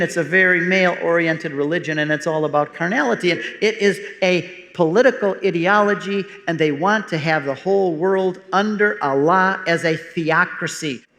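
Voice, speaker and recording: A man with an American accent, high pitch, ordinary pitch variation and a moderate pace, over noticeable background noise. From US Midwest (Detroit area, Michigan). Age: 60s. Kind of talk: casual chat.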